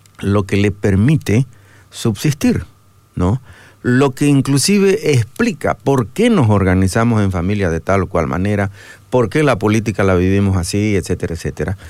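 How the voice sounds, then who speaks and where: In a very clean recording with a silent background, a man talks in an ordinary speaking voice, fairly low in pitch, with lively intonation and very even loudness. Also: moderate pace. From Bolivia, Santa Cruz. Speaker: theologian. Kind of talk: radio interview. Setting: radio studio.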